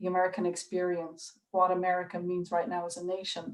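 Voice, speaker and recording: At a fairly quick pace, a woman talks with a medium pitch. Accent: Irish. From Ireland. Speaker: curator. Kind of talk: public talk on video call. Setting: video call. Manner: hesitant, many fillers.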